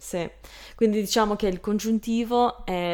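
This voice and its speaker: A moderately paced female voice, its pitch varying in an ordinary way. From Canada, Lebanese family. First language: English (speaking Italian). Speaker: Italian learner, YouTuber. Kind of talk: interview. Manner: halting.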